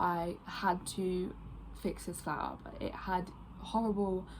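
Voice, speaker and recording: A woman speaks in a fairly low voice. It is somewhat breathy. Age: 20s. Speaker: design graduate and ceramicist. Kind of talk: video application pitch. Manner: casual with filler words.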